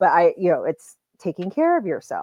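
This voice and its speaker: A woman is speaking against a quiet background. The sound is dry and close, with no echo. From US Midwest, Indiana. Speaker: adoptee community advocate. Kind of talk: podcast interview. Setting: podcast recording.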